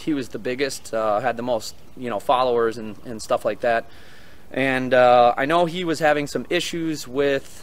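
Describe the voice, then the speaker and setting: The man speaks at a moderate pace with ordinary pitch variation. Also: dry sound with no echo. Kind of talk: casual vlog commentary. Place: open country. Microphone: phone near.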